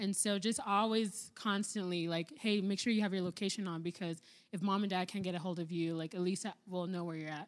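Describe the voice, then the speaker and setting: On a very clean recording with a silent background, a woman speaks at a fairly quick pace and medium pitch with fairly even intonation. She has a normal speaking voice. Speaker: biology student. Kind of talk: casual discussion.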